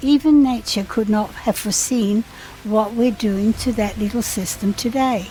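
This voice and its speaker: A woman's fairly high voice at a moderate pace, fairly even in intonation, over noticeable background noise. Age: 70s. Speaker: retired businesswoman. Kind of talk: informational narration.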